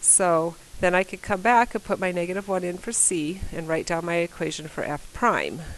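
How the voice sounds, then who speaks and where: A woman's unremarkable speaking voice at a medium pitch, moderate pace and fairly even intonation. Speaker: math teacher. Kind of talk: recorded lesson.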